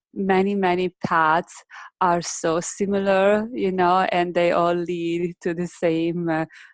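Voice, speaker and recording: Very slowly, a woman with an Italian accent speaks at a fairly low pitch with fairly even intonation. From northern Italy, Modena. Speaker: meditation teacher. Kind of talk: casual interview. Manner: halting, many fillers; gentle.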